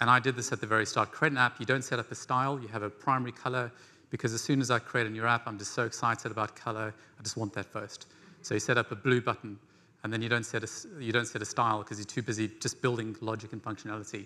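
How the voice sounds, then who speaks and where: Very fast and flat, the man speaks in a monotone. His tone is bright and sharp. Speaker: conference presenter. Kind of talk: lecture. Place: stage.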